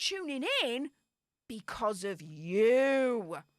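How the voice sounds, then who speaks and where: Dry and close with no echo, the voice has an animated tone and a Yorkshire accent. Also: woman. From Yorkshire, northern England. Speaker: YouTuber and webinar co-host. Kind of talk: webinar presentation. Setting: live video webinar.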